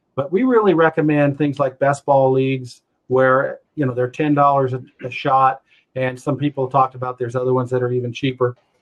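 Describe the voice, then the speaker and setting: Fairly even in intonation, the speech moves along at a fairly quick pace. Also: man, medium pitch for a man. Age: 60s. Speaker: fantasy football analyst. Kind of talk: webinar presentation. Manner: halting, many fillers.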